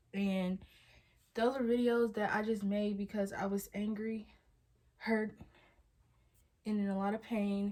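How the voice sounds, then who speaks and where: This woman's voice is fairly high and somewhat breathy. Her intonation is fairly even, and her pace is fairly slow. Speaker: vlogger. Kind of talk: casual vlog monologue.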